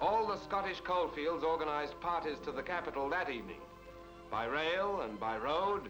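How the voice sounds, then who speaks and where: Over music in the background, the speech moves at a moderate pace with ordinary pitch variation. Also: man. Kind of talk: newsreel narration.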